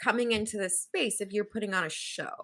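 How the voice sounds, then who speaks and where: In a Southern Californian accent, the voice comes across with a bright, sharp tone. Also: woman. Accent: Valley Girl. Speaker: podcast co-host. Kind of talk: casual panel discussion.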